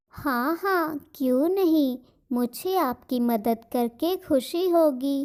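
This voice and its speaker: A woman speaks in a cartoonish character voice, pitched high. Her pace is very slow. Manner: sweet, eager.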